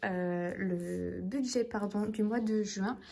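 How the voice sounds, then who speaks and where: A woman talks with ordinary pitch variation. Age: 20s. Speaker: budgeting vlogger. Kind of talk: casual vlog talk to camera. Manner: hesitant, many fillers.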